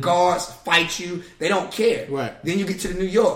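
Fairly quick speech in an American accent over noticeable background noise. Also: man. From North Carolina, Raleigh. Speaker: basketball coach. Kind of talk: casual chat.

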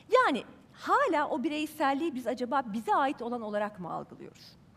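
A woman with an animated tone, high pitch, and very wide pitch swings, over noticeable background noise. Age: 50s. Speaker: journalist. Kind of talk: talk to a live audience. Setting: stage with audience.

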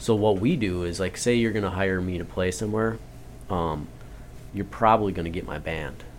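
Audible room echo surrounds a man with a very deep, low pitch. He talks at a fairly quick pace with ordinary pitch variation. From North Dakota, Turtle Mountain Chippewa Reservation. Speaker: blues musician. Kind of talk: casual chat. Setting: radio studio.

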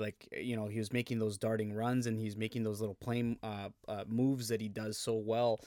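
On a very clean recording with a silent background and a dry, close sound with no echo, a man speaks in an ordinary speaking voice at medium pitch and a moderate pace. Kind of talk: podcast hosting. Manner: upbeat, friendly.

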